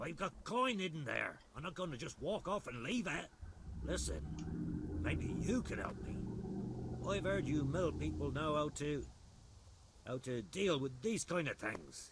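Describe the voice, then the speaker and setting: A man's gruff, put-on character voice at a moderate pace, broken by long, frequent pauses, over light background noise. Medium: video game. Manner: gruff, cursing.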